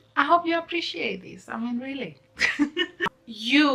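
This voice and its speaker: Background noise is noticeable. Over it, a woman talks with lively intonation. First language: not English. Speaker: YouTuber, law of attraction vlogger. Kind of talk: casual vlog talk. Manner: animated; rambling, unscripted.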